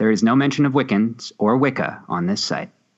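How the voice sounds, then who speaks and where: A man talks with vocal fry. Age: 30s. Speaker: podcast co-host. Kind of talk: casual chat. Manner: animated.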